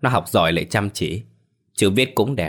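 Plain reading aloud fills the clip, with the pitch moving an ordinary amount. No noise intrudes from the background.

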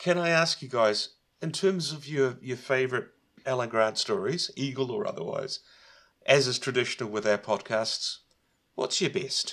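This is an ordinary speaking voice from a man of medium pitch. He moves at a moderate pace with lively intonation. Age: 40s. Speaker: podcast co-host. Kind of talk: casual chat.

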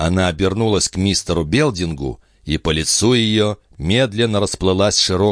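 The pitch variation stays ordinary. The passage is reading aloud in a natural voice.

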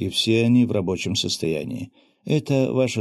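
Someone reads aloud here in a natural voice.

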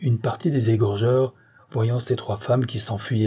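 Words are read aloud in a natural voice. Intonation holds fairly even throughout.

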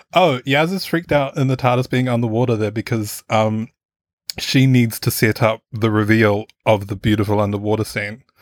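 Moderate pace and ordinary pitch variation in a New Zealand accent, on a very clean recording with a silent background and a dry, close sound with no echo. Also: man, medium pitch for a man. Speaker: podcast panelist. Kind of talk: casual panel discussion.

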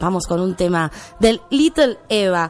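Music in the background beneath a woman's voice that swings very widely in pitch. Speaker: radio host. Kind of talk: radio show.

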